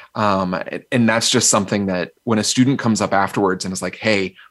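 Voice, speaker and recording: A man of fairly low pitch with an American accent speaks in a plain, everyday voice and fairly even intonation. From US South, North Carolina. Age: 40s. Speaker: keynote speaker. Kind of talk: interview conversation.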